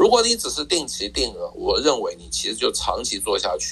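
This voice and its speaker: Behind the speaker there is noticeable background noise. The man keeps up a fairly quick pace. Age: 60s. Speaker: personal finance author. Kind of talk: interview.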